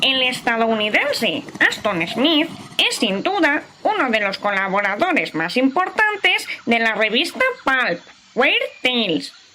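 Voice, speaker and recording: A woman's put-on character voice, high-pitched with very wide pitch swings, very even loudness and a fairly slow pace. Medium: audio drama. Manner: lecturing, confident.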